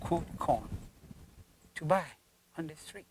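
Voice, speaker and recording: A man with a Ghanaian accent speaks at a high pitch. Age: 70s. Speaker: farmer. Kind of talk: interview answer.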